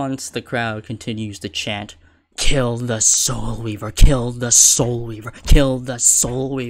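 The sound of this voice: An unforced reading voice delivers the words with fairly even intonation.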